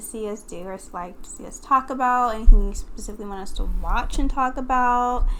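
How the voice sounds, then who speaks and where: A soft-spoken woman, high-pitched and fairly quick, with lively intonation and audible room echo. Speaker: podcast co-host. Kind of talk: casual chat. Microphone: far from the mic, too quiet.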